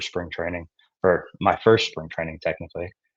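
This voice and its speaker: Talking at a very fast pace, a man with an American accent has a very deep, low pitch. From Texas, Houston. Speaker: baseball pitching prospect. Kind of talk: interview.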